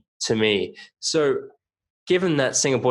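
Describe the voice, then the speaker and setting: This man has an Australian accent. His tone comes across bright and sharp. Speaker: podcast host. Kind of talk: podcast interview.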